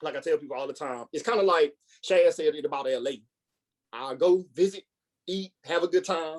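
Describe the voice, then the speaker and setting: Someone speaks with a Louisiana accent at a fairly quick pace. The loudness swings widely from moment to moment. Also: man. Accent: Louisiana Southern US. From Louisiana, Baton Rouge. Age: 30s. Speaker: podcaster. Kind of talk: casual chat.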